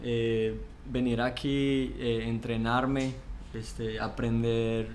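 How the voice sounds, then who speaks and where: A man talks very slowly at a medium pitch with monotone, flat intonation. Room echo is audible. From Colombia, Pereira (coffee region). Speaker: seminary student. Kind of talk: interview.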